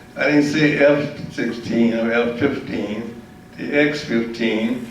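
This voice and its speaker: Background noise is clearly present. Through it, a man talks. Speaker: war veteran; aerospace engineer. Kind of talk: public talk.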